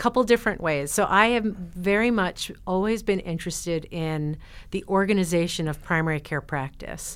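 A woman with an American accent and a plain, everyday voice, medium in pitch with ordinary pitch variation, at a moderate pace on a very clean recording with a silent background. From US Northeast, New Jersey. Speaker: professor of family medicine. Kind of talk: interview.

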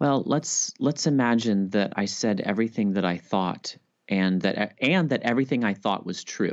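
In an unremarkable speaking voice, a man at medium pitch talks at a moderate pace with lively intonation and very even loudness against a quiet background. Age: 30s. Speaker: Bible scholar and author. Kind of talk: interview.

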